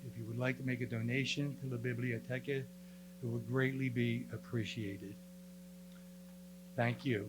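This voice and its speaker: A man with an American accent at a moderate pace, plus noticeable background noise. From US Northeast, Camden, New Jersey. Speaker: real estate agent. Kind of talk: public presentation.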